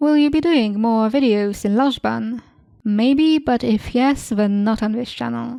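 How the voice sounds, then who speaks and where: A woman with a Polish accent and a dark, mellow tone, ordinary pitch variation and a fairly slow pace. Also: fairly high pitch for a woman. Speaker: YouTuber. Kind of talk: casual Q&A, reading and answering questions.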